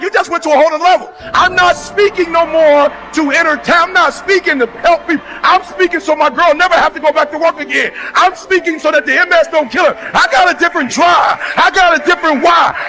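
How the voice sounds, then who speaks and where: With an American accent, a man speaks in a raised, projected voice at an extremely high pitch, with a passionate tone, a fairly quick pace, very even loudness, ordinary pitch variation and hardly any pauses, over noticeable background noise. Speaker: motivational speaker. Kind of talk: motivational speech. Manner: passionate, fervent.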